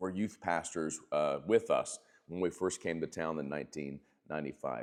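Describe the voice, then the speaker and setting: The man's voice sits very deep and low. He keeps a moderate pace. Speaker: pastor. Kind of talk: devotional video talk. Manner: casual with many fillers.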